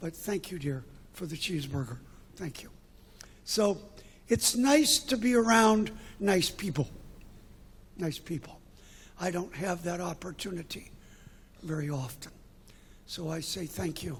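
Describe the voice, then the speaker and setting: In an American accent, a man with a high pitch and lively intonation talks at a fairly slow pace with long, frequent pauses and big swings in loudness, amid audible room echo. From New York. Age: 70s. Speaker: visiting preacher. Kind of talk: sermon. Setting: church.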